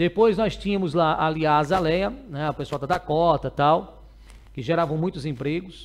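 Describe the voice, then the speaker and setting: Here a man is speaking. His pace is moderate and his pitch variation ordinary. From Brazil, Sergipe (Ribeirópolis); Sergipe, Brazil. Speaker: news show host. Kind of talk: news commentary. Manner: casual, conversational. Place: studio. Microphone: headset.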